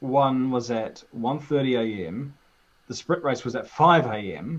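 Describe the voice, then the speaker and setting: A man talks very slowly in a strong New Zealand accent. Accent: thick New Zealand. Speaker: YouTuber. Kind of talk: casual chat.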